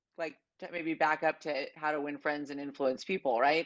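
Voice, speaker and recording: A woman speaks at a fairly quick pace, with a quiet background behind her. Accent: American. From California. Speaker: life insurance agent; guest. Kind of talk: casual interview. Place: home room. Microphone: earbuds.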